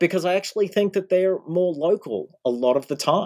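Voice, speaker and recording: Very wide pitch swings at a moderate pace in an Australian accent, with a very clean recording, a silent background and a dry, close sound with no echo. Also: man. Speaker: history professor. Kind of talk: interview.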